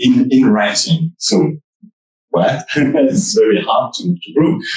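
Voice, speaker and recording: A man speaks very slowly in a French accent, his fairly high voice showing vocal fry. His pitch swings very widely. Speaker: author. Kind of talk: panel discussion. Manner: halting.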